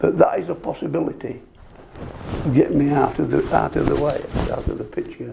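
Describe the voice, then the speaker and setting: Noticeable background noise fills the recording. The talking goes at a fairly quick pace. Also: man. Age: 70s. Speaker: retired policeman in a GP consultation. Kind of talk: recorded consultation. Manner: halting, stammering.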